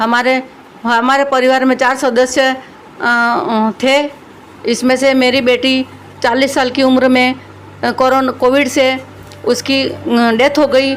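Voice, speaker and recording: Over noticeable background noise, a woman speaks at a high pitch in a monotone, flat delivery with very even loudness and long, frequent pauses. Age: 60s. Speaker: bereaved mother interviewed. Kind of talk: interview testimony. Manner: halting, many fillers.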